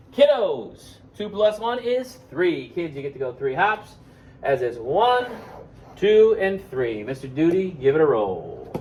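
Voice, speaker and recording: A man with an American accent talks loudly at a high pitch with very wide pitch swings over noticeable background noise. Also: fairly slow pace. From Buffalo, New York, US. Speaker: elementary school teacher. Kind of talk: math lesson for kids. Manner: animated.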